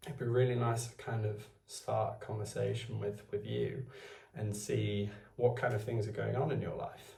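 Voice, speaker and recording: A man speaks with a Welsh accent. The recording has audible room echo and noticeable background noise. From Wales. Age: 20s. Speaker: vlogger. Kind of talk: casual talk to camera. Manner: halting, hesitant.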